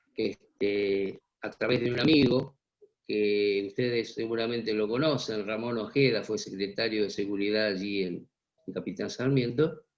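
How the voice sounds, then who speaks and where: This man has an ordinary speaking voice. It sits fairly low in pitch with ordinary pitch variation. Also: fairly slow pace. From Buenos Aires area, Argentina (Vicente López). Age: 60s. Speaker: journalist and former army intelligence officer. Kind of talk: interview.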